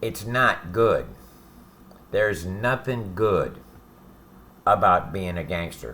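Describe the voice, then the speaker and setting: A man's fairly low, bright, sharp voice at a very slow pace, with ordinary pitch variation and long, frequent pauses. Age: 60s. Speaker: ex-convict giving advice to youth. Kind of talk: direct-to-camera monologue. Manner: casual, profane.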